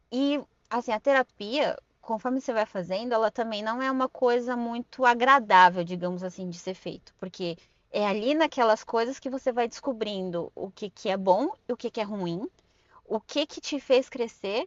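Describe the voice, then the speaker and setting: A woman's fairly high-pitched voice at a moderate pace, with ordinary pitch variation. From Brazil, Suzano (São Paulo state). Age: 30s. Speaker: podcast guest. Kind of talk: casual interview chat.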